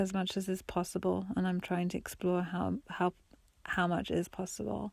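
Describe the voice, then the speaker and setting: On a very clean recording with a silent background, a woman is soft-spoken. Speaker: solo podcaster. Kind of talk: reflective monologue. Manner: halting.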